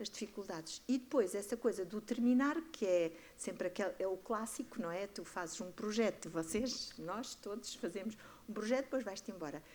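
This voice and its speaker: A woman speaks at a medium pitch. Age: 60s. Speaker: artist and community project director. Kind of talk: panel discussion. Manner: animated, halting with repetitions.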